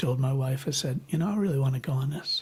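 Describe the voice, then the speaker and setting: Somewhat breathy, a man with an American accent speaks at a fairly high pitch. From US Midwest, Michigan. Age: 70s. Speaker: birder. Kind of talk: casual interview chat. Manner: halting, many fillers.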